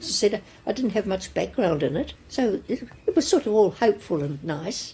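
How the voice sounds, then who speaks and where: A woman's voice is somewhat breathy, with a dark, mellow tone. Her pitch swings very widely. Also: medium pitch for a woman, moderate pace. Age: 80s+. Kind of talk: interview answer, storytelling.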